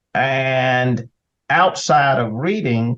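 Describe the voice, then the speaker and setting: A man speaks very slowly in a Southern US accent. His pitch is medium, with ordinary variation. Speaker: attorney and state senator. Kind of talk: interview conversation.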